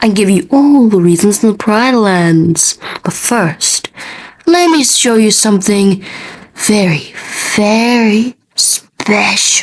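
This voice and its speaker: This put-on character voice moves at a fairly slow pace with lively intonation and very even loudness. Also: woman, medium pitch for a woman. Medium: fan dub. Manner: sly, smooth.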